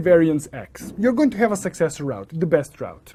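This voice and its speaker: The speaker has a non-native accent. The pace is moderate. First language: not English. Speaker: networking instructor. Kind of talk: lecture. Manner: explanatory, self-correcting.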